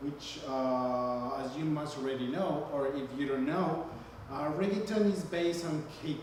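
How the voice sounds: A man with a fairly high-pitched voice talks at a fairly slow pace, with audible echo from the room. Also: ordinary pitch variation.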